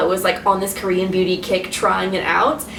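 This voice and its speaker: Noticeable background noise and audible room echo surround a woman speaking fairly quickly at medium pitch. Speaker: beauty vlogger. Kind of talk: product review vlog. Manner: casual, filler-heavy; mumbling, restricted mouth movement.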